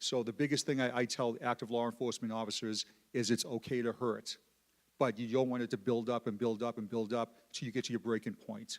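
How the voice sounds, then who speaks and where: Speaking very fast with a Boston accent, a man at a medium pitch keeps his intonation fairly even in a very clean recording with a silent background. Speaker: police peer support advocate. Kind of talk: panel discussion. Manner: halting, repeats words.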